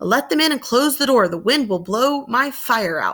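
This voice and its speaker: Putting on a character voice, a woman speaks at a moderate pace, high and raspy, with lively intonation. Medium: read story. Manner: authoritative.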